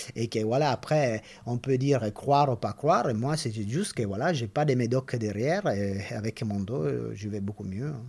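A man speaks with an Italian accent at a moderate pace. His pitch is medium, with ordinary variation. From Italy. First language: Italian (speaking French). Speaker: veterinary orthopedic surgeon. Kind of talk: interview. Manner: halting.

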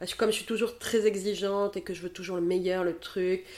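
A woman's voice with fairly even intonation. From southern France, Montpellier. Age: 30s. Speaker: photographer. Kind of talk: interview conversation.

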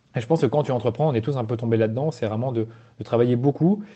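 A somewhat breathy voice at a very fast pace with ordinary pitch variation. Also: man. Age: 20s. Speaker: agency founder. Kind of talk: casual chat. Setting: outdoors. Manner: halting.

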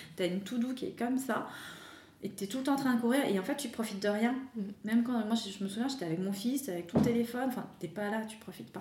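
A woman's fairly high voice at a very fast pace, with ordinary pitch variation, noticeable background noise and audible room echo. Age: 30s. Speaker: wellness coach for mothers. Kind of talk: interview.

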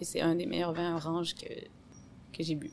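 Using a plain, everyday voice, a woman talks at a fairly slow pace with a fairly low pitch and fairly even intonation. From Quebec City, Quebec. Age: 30s. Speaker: sommelier. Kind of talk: casual interview.

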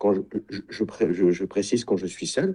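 The man has a dark, mellow tone. His pace is moderate. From Champagne-Ardenne, France. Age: 50s. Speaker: sailing wellness retreat founder. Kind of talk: interview. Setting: video call.

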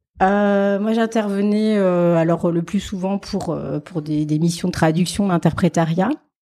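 Speaking very slowly, a woman uses a dark, mellow tone at medium pitch with fairly even intonation. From France, Alsace (Strasbourg). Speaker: fundraising manager. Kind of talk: interview. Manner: hesitant.

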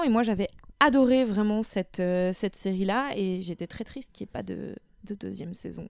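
Fairly quick and fairly high in pitch, a woman talks in a plain, everyday voice with ordinary pitch variation and big swings in loudness. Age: 30s. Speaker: podcast guest, practises historical martial arts. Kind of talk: casual chat.

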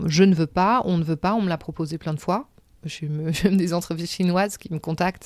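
A woman with a fairly low pitch speaks at a moderate pace and with fairly even intonation. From Senegal (Gorée island, Dakar), then Paris from age 7. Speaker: artistic director of a crafts company. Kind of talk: interview, life story. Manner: hesitant, many fillers.

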